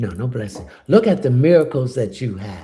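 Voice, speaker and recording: This man's voice is somewhat breathy. Its tone is dark and mellow. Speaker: spiritual reader. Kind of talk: livestream chat with viewers. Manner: soft-spoken.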